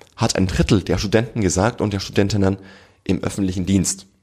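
At a moderate pace, a man talks in a fairly low pitch. It is a normal speaking voice. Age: 30s. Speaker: generations researcher and author. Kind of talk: podcast interview.

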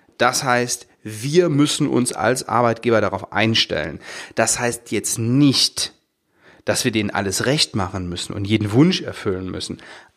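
The speaker goes at a fairly slow pace with lively intonation, on a very clean recording with a silent background. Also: man, medium pitch for a man. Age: 40s. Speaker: podcast host, dental practice business coach. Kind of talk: solo podcast monologue. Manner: hesitant, with fillers and repetitions.

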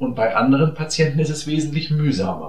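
A man with a fairly high voice speaks in a room with audible echo. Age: 50s. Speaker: general practitioner. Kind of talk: monologue podcast talk.

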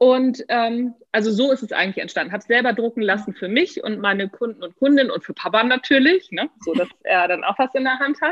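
The voice moves at a fairly quick pace with lively intonation. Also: woman. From northern Germany. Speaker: author and management trainer. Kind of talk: casual interview. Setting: video call.

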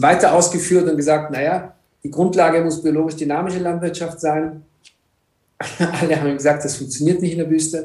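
This man has a fairly high pitch, a dark, mellow tone, and fairly even intonation. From Egypt. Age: 50s. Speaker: entrepreneur. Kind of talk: interview. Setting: video call.

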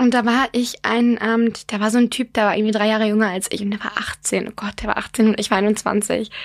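A plain, everyday voice, a woman at fairly high pitch and a fairly quick pace. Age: 20s. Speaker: podcast co-host. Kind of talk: casual chat.

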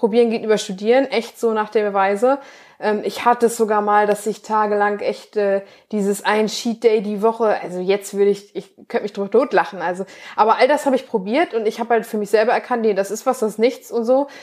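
A woman speaks in a normal speaking voice, pitched fairly high. Her intonation stays fairly even at a fairly quick pace. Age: 20s. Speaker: bikini bodybuilding athlete and nutrition coach. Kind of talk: casual interview.

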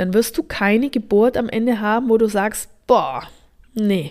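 A woman's fairly high voice proceeds at a very slow pace. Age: 30s. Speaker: birth preparation coach. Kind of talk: podcast monologue.

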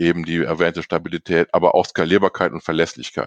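A man with a very deep, low voice is heard over a quiet background in a dry, close sound with no echo. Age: 40s. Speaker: IT development manager. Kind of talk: interview. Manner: many filler sounds.

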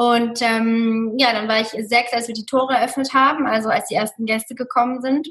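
A woman speaks in a high pitch with fairly even intonation. She keeps a moderate pace with hardly any pauses. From Germany, Mosel region. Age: 30s. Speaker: hotel manager and Ayurveda practitioner. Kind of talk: interview.

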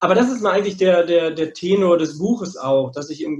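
Speaking at a high pitch, a man uses ordinary pitch variation. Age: middle-aged. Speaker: psychologist and men's therapist. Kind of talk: podcast interview. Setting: working from home.

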